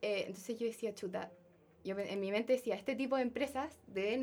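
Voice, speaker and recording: Speaking at a moderate pace with a Chilean accent, a woman uses a fairly high pitch and ordinary pitch variation. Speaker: software engineering trainee. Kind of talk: casual interview chat.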